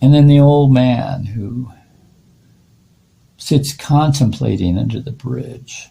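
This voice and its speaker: A man at medium pitch speaks at a very slow pace, with a dark, mellow tone, a somewhat breathy quality, ordinary pitch variation, big swings in loudness, and long, frequent pauses. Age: 70s. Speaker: artist. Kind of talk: tarot reading monologue. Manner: halting, many fillers.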